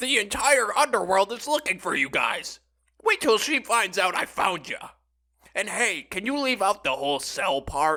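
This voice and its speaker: At a moderate pace, a man puts on a character voice with a high pitch. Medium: audio drama. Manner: excitable.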